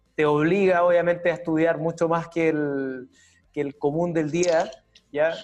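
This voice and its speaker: A man with a Chilean accent, high-pitched and monotone in flat intonation, very even in loudness, at a fairly slow pace. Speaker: UX designer and university teacher. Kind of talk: interview.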